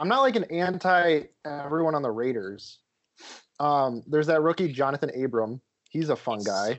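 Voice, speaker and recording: Speaking at a moderate pace, a man with a fairly high pitch sounds animated, his intonation lively. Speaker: friend who just got engaged. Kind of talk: casual banter among friends. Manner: joking, animated.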